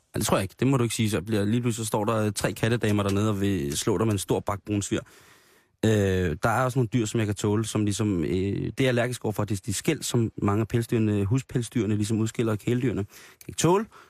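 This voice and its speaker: A man at a very fast pace, fairly low in pitch with fairly even intonation, in a dry, close sound with no echo and a very clean recording with a silent background. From Denmark, Grenå area. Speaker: radio host. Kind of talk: casual chat.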